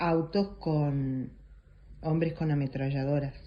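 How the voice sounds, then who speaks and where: Very slowly, a woman speaks in a very deep, low pitch, somewhat breathy, with fairly even intonation. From Argentina. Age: 60s. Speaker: interviewee, eyewitness. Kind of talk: testimony. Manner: hesitant, with fillers.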